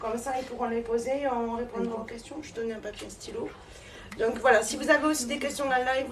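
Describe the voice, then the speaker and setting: A woman speaks at a moderate pace in a high voice with fairly even intonation, with noticeable background noise and audible room echo. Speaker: medium giving a talk. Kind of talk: live stream chat before a conference. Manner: casual, chatty.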